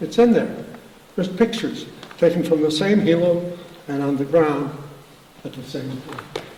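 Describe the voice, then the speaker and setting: Over noticeable background noise and audible room echo, a man with an American accent speaks in a high-pitched voice. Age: 80s+. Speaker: farmer. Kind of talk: speech. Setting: dinner event in a barn. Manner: animated.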